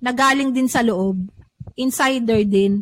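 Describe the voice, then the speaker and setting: Lively intonation marks this moderately paced speech. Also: woman. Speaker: podcast host, writer and publisher. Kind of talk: casual chat.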